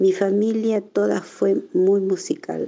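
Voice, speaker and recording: A woman is speaking. Her pace is very slow. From Argentina, Tandil (born in Navarre, arrived as a baby). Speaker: Basque immigrant. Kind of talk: personal testimony.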